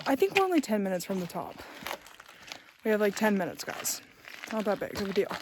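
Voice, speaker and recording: A woman at medium pitch with ordinary variation, a very fast pace broken by long, frequent pauses, over noticeable background noise. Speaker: vlogger. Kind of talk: travel vlog narration. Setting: outdoors on a hike.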